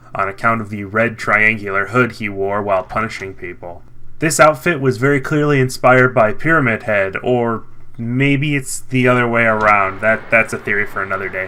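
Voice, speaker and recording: A man's medium-pitched voice with a bright, sharp tone, ordinary pitch variation and a moderate pace. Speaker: video game commentator. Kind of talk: scripted narration.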